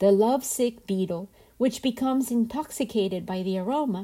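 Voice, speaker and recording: In a very clean recording with a silent background, a woman speaks at a fairly high pitch and a moderate pace, her tone dark and mellow, somewhat breathy, with lively intonation. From Colombia. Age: 50s. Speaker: podcast host. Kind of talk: reflective storytelling narration.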